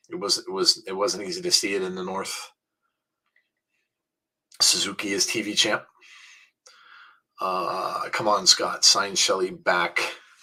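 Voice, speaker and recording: A quiet, raspy, put-on character voice from a man at a fairly low pitch, moderate pace, with big swings in loudness and long, frequent pauses. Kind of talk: casual, conversational. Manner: quiet, keeping the voice down.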